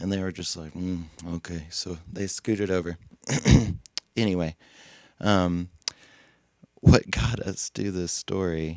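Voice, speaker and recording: A man with a very deep, low pitch speaks at a fairly slow pace. He leaves long, frequent pauses. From Tennessee, Cookeville area. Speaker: musician and festival creative director. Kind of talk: casual chat. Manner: animated.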